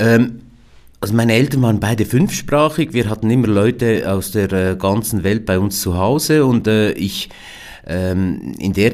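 A man's fairly low voice with ordinary pitch variation at a moderate pace. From Switzerland, Biel/Seeland (German-French language border). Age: 50s. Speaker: company founder. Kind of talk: interview. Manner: hesitant, many fillers.

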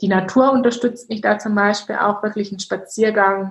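With monotone, flat intonation, a woman talks in a somewhat breathy voice. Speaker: mindset coach. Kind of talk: interview.

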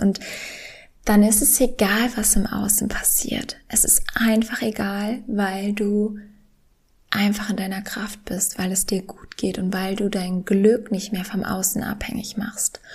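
A woman speaks at a medium pitch in a flat, monotone delivery. Her voice is somewhat breathy. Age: 20s. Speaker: podcast host and professional tennis player. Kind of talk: solo podcast monologue. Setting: home living room.

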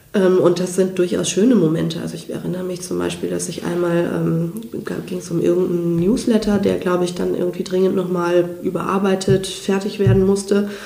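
Audible room echo and noticeable background noise surround the voice. The delivery is fairly quick, with fairly even intonation. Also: woman, fairly low pitch for a woman. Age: 30s. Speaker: personality development trainer. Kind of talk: interview.

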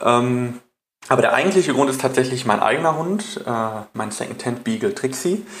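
At a moderate pace, this voice swings very widely up and down in pitch. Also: man, medium pitch for a man. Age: 20s. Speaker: dog trainer. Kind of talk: interview.

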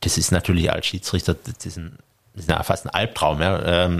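Very deep, low pitch from a man. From Stuttgart, Germany. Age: 40s. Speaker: sports referee and tax advisor. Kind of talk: interview.

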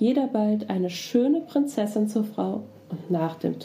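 Lively intonation runs through the clip, delivered in an unforced reading voice.

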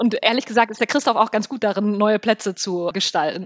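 The dry, close sound carries no echo as a woman talks at a fairly quick pace with a fairly high pitch and ordinary pitch variation. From NRW, Münsterland (Selm). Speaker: travel company managing director. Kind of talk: casual interview. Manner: halting, many fillers.

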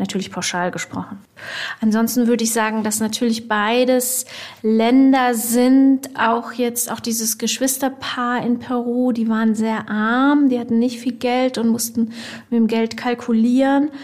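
Noticeable background noise surrounds a woman's voice. Her pitch is fairly high, and her intonation is monotone and flat. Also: fairly slow pace. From Germany and Ivory Coast. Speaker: magazine editor. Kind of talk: interview.

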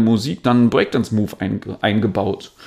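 At a moderate pace, a man speaks in a calm tone. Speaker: dance trainer. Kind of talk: interview.

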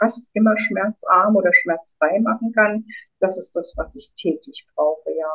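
Somewhat breathy, a woman speaks at a fairly slow pace in a medium pitch, her intonation fairly even. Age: 50s. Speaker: author and former midwife. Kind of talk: interview.

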